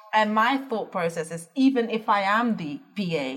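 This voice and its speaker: Lively intonation from a woman, noticeable background noise behind her. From Netherlands. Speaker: business founder. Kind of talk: interview.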